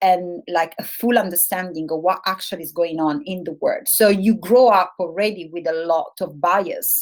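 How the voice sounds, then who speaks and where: At a moderate pace, a woman with an Italian accent speaks at a medium pitch with ordinary pitch variation and big swings in loudness. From Italy. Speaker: webinar host. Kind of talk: webinar panel discussion.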